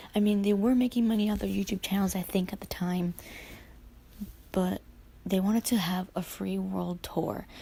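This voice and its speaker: Somewhat breathy and dark, mellow in tone, a woman's medium-pitched voice moves at a moderate pace with fairly even intonation and long, frequent pauses. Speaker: YouTuber. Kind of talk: casual rant to camera.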